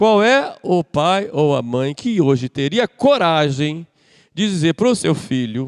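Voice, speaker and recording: A man's fairly high voice in very wide pitch swings at a very slow pace, dry and close with no echo, on a very clean recording with a silent background. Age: 60s. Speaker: priest. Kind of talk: sermon.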